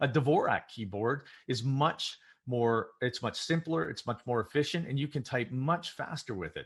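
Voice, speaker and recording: Somewhat breathy speech with lively intonation over a quiet background. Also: man, medium pitch for a man. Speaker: keynote speaker. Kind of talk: keynote speech. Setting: virtual event. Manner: fast.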